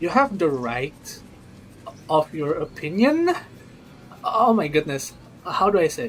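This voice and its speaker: A high-pitched man in a non-native accent, fairly slow with long, frequent pauses and very wide pitch swings, amid noticeable background noise. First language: not English. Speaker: gaming livestreamer. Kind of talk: live stream chat about a game. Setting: live stream. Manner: casual, halting with repetitions.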